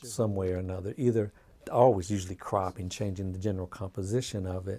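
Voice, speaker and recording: Somewhat breathy and dark, mellow in tone, a man with a fairly low pitch speaks at a fairly quick pace with an American accent. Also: very clean recording, silent background. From US Midwest, Xenia, Ohio. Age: 60s. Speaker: visual artist. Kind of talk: interview. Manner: halting.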